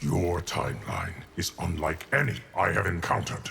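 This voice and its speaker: In a put-on, growling character voice with a very deep, low pitch, a man talks at a moderate pace over clear background noise. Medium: short film. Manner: grave, measured.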